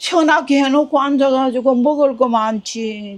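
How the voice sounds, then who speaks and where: A woman in a Gyeongsang accent at a high pitch and very slow pace. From North Gyeongsang, South Korea. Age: 80s+. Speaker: ramen shop owner. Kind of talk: interview answer. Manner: casual, plain-spoken.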